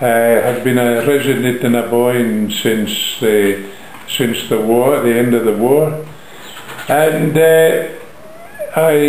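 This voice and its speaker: A man talks at a very slow pace with lively intonation, over light background noise. Audible room echo surrounds his voice. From Braemar, Aberdeenshire, Scotland. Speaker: coach operator and motor engineer. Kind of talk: interview answer. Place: home room. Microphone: phone near.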